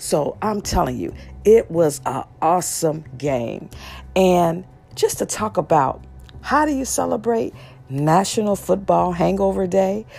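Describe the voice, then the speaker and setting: Music plays in the background as a woman speaks in an animated tone. She keeps a fairly slow pace. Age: 50s. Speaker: relationship advice podcast host. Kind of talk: casual chat.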